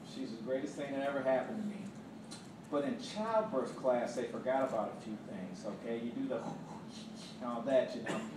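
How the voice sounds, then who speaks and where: Animated and fairly quick, a man talks with very wide pitch swings and long, frequent pauses. Noticeable background noise and audible room echo fill the recording. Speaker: stand-up comedian. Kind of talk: stand-up comedy set. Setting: stage with audience. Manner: animated storytelling, acts out dialogue; casual, conversational, frequent laughs and filler words. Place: stage.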